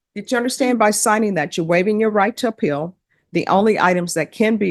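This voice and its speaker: A woman talks at a very fast pace in a Louisiana accent. The sound is dry and close with no echo, and the background is quiet. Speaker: judge. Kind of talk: courtroom plea hearing. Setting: courtroom. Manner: formal.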